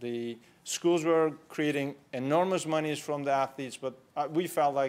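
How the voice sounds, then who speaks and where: The speaker has a Turkish accent and fairly even intonation. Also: man. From Turkey (Istanbul). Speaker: entrepreneur. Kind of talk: conference talk. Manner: conversational.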